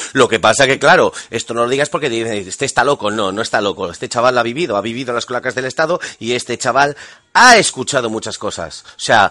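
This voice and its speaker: A man at a very fast pace, medium in pitch, with a bright, sharp tone. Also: ordinary pitch variation. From Spain. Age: 40s. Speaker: guest commentator. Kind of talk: interview. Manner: animated.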